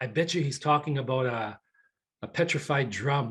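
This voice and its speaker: An ordinary speaking voice from a man, fairly high in pitch, with fairly even intonation and a quiet background. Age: 60s. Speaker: retired professional, community elder. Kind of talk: personal testimony on a panel.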